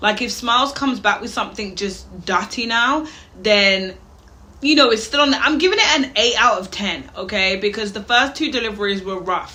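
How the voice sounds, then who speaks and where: At a moderate pace, a woman with a fairly high pitch and ordinary pitch variation talks over noticeable background noise and audible room echo. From Wales, Birmingham area. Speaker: reaction youtuber. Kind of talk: reaction commentary.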